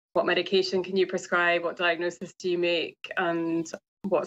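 A woman's fairly low, monotone, flat voice at a fairly quick pace. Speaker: guest. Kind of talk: interview answer. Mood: calm, earnest. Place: home room. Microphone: video call.

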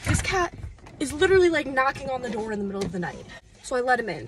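A woman with a high pitch is heard in a dry sound with no echo, with noticeable background noise behind her. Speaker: travel vlogger. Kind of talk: casual vlog chat. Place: car. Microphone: phone near.

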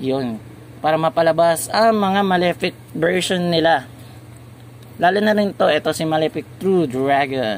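Over light background noise, a man with a fairly high pitch talks at a fairly slow pace with lively intonation. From Philippines. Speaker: YouTuber, card game reviewer; toy channel host. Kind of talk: casual product review video. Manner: halting, with fillers. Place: shop. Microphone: phone near.

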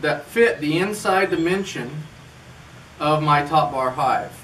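A man's voice shows ordinary pitch variation over light background noise. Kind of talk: tutorial. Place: garage. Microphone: camera far.

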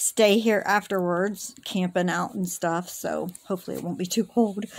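With ordinary pitch variation, a woman speaks fairly slowly. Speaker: vlogger. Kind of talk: casual vlog chat. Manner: flat, low-energy, sleep-deprived voice. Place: home room. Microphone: phone near.

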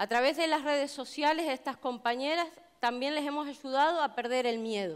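Against a quiet background, a woman speaks at a moderate pace in a high pitch. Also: ordinary pitch variation. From Canary Islands, Tenerife; Canary Islands. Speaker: union delegate and hotel chambermaid; speaker. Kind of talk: public speech. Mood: earnest, committed. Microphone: headset.

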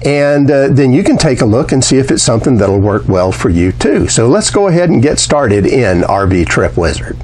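At a moderate pace, a man talks with very wide swings in pitch. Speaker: RV reviewer. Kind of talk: tutorial intro, casual talk to camera. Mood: friendly, enthusiastic. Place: home room. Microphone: lapel.

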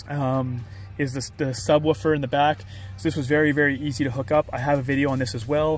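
A man with ordinary pitch variation, dry sound with no echo, and faint music in the background. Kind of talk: casual tutorial. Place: car.

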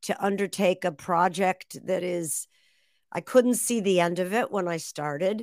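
On a very clean recording with a silent background, a woman with an American accent speaks at a medium pitch with fairly even intonation. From Massachusetts, near Boston. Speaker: author and former radio host. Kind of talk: interview.

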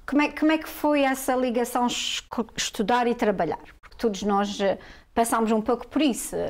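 A woman's high voice, with ordinary pitch variation, proceeds at a moderate pace. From Portugal. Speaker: talk show host. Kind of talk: interview. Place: studio.

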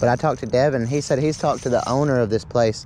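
A man talks at a very fast pace with fairly even intonation. Light background noise sits behind him. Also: dry sound with no echo. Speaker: angler vlogger. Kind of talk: casual vlog chat. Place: waterside. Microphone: phone near.

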